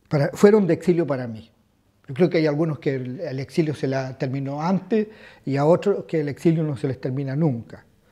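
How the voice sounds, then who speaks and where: A man's fairly high voice, dark and mellow in tone, at a fairly quick pace with ordinary pitch variation. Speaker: exile interviewee. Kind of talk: documentary interview.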